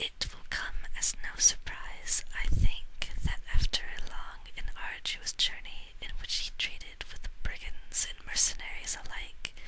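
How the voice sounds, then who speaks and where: Whispering at a fairly slow pace, a woman's voice rises and falls sharply in loudness over noticeable background noise. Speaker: ASMR audiobook reader. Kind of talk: audiobook reading, ASMR. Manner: whispered, soft-spoken.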